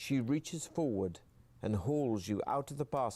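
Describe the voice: The words come out as plain reading aloud. Nothing more is added to the delivery.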